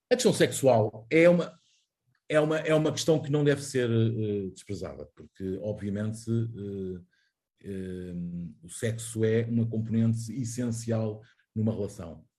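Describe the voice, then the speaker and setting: At a fairly slow pace, a man speaks with a medium-pitched, dark, mellow, somewhat breathy voice and ordinary pitch variation. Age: 40s. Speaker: journalist. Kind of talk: interview. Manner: halting.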